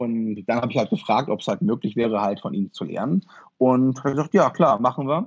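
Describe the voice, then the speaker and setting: Lively intonation marks a man's medium-pitched voice, delivered at a fairly quick pace with a dry, close sound and no echo. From northern Germany, Osnabrück. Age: 30s. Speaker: martial arts practitioner. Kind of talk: interview. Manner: halting, many fillers.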